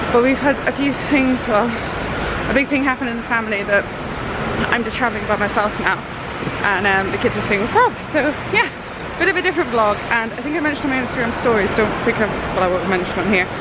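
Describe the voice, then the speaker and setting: Over loud background noise, a woman speaks very fast but leaves long, frequent pauses, with a dry sound and no echo. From Scotland. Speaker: family vlogger. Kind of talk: casual talk to camera. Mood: subdued, slightly somber. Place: station. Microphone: phone near.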